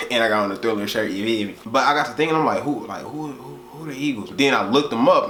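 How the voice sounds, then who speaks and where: This man's voice carries audible room echo. Behind him sits noticeable background noise. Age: young. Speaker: music reaction youtuber. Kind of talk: casual reaction video monologue. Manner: casual, slangy.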